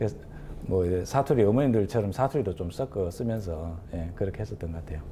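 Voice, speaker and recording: Very fast and lively in intonation, a man speaks at a very deep, low pitch with a dark, mellow, somewhat breathy tone. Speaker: pizza shop owner. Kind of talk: interview.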